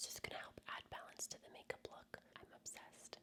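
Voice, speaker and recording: The speaker, a woman, whispers. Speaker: makeup artist / beauty creator. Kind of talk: ASMR makeup tutorial. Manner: whispered, soft-spoken.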